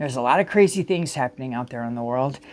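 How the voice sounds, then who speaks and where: A woman's very deep, low-pitched voice. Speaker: tarot reader. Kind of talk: spiritual tarot reading. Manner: fast; casual, hesitant with fillers.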